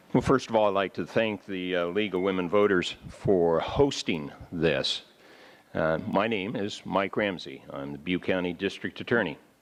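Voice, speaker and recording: A man with an American accent has a very deep, low pitch. He speaks at a moderate pace with ordinary pitch variation. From US, northern California. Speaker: district attorney, candidate. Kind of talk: campaign opening statement. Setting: public forum, live broadcast.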